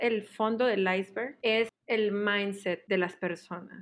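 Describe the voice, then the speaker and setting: This woman has a medium pitch and fairly even intonation. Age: 20s. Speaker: education graduate. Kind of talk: casual interview. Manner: slow.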